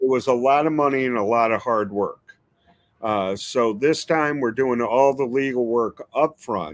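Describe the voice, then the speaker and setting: A man talks in a New York accent. His pace is moderate. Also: medium pitch for a man, ordinary pitch variation. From New York City (Queens). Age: 60s. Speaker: pepper breeder. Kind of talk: interview.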